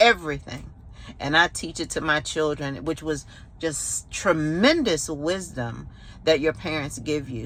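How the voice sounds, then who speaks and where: Vocal fry marks this woman's very deep, low pitch, and her pitch variation is ordinary. She sounds animated and speaks at a fairly slow pace. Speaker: new YouTuber. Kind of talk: casual vlog monologue.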